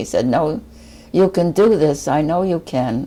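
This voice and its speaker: A woman with an American accent, a dark, mellow tone, vocal fry, ordinary pitch variation and a moderate pace. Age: 80s+. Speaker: former US Marine, physical trainer. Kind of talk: interview answer.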